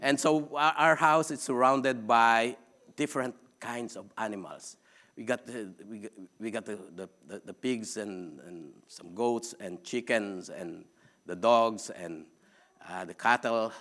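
A man with a Filipino accent at a fairly slow pace, on a very clean recording with a silent background. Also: medium pitch for a man, ordinary pitch variation, big swings in loudness. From Philippines. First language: Philippine language. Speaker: preacher. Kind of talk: sermon. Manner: halting.

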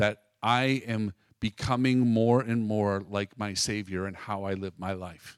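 A man with a plain, everyday voice speaks at a fairly low pitch with fairly even intonation, recorded dry and close with no echo on a very clean recording with a silent background. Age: 50s. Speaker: pastor's son sharing testimony with his wife. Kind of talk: testimony.

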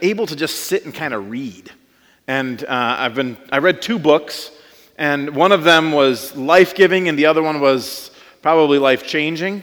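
A man speaks in an unremarkable speaking voice. His pitch is fairly high, with ordinary pitch variation. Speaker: pastor. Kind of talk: sermon. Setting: church.

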